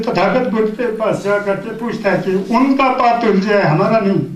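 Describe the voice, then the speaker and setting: A man's high voice with ordinary pitch variation, amid noticeable background noise and audible room echo. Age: 60s. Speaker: Buddhist teacher. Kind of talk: dharma talk.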